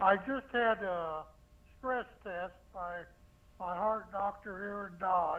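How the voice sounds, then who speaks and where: A man speaks at a very slow pace in a high voice, his intonation fairly even. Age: 80s+. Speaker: caller. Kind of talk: call-in question.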